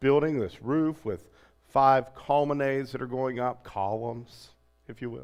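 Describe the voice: The speaker does plain reading aloud. Intonation is kept fairly even throughout.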